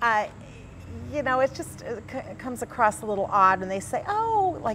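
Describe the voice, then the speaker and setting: A woman speaks at a moderate pace in a high voice with lively intonation. Noticeable background noise is present. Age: 60s. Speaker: magazine editor. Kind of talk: talk show interview. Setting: community center talk show set.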